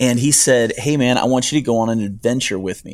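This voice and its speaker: A man with an American accent talks at a very fast pace with ordinary pitch variation. The recording is very clean, with a silent background. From northern Ohio and upstate New York. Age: 40s. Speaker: hiker and YouTuber. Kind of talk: interview.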